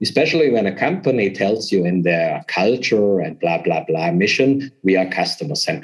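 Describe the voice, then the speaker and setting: With a German accent, a man speaks at a moderate pace in a fairly low pitch, making very wide pitch swings. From southern Germany. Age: 40s. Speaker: business consultant. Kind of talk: interview.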